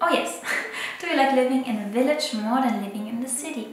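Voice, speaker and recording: Over clear background music and audible room echo, a woman speaks at a high pitch. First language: not English. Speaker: photographer and illustrator. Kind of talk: casual talk to camera. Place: home room.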